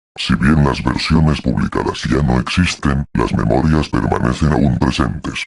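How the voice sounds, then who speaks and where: The speaker uses a put-on character voice at a moderate pace. There are hardly any pauses. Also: man, very deep, low pitch for a man. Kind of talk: horror narration. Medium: read story.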